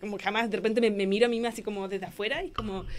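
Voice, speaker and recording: At a very fast pace, a woman speaks in a Chilean accent. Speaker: book author and illustrator. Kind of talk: radio interview. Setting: radio studio.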